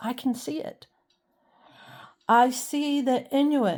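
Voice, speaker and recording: A woman's high pitch and dark, mellow tone in an American accent, with ordinary pitch variation, on a very clean recording, silent background. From South Carolina Lowcountry, Colleton County. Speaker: historian and dog channel creator. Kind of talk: personal vlog narration.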